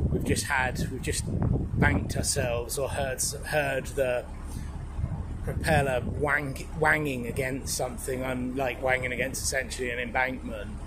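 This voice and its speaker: Loud background noise surrounds a man who talks fairly slowly. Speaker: narrowboat vlogger. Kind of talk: casual vlog chat. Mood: mildly frustrated, wry. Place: boat. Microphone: phone near.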